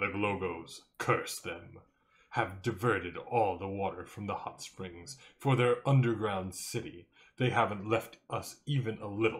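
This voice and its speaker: Croaky and put-on, a character voice is at work. It moves at a moderate pace. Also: man, fairly low pitch for a man. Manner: complaining, aggrieved.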